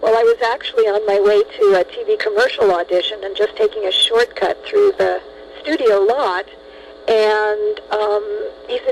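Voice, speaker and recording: A woman speaks with an American accent. Noticeable background noise sits behind her voice. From Los Angeles, California. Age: 60s. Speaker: actress. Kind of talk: interview.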